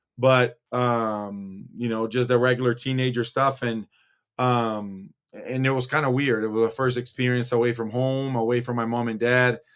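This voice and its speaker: Speaking at a moderate pace, a man keeps a medium pitch. His intonation stays monotone and flat. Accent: Brazilian. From Brazil, São Paulo. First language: Portuguese. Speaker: former basketball player. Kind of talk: casual interview. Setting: video call.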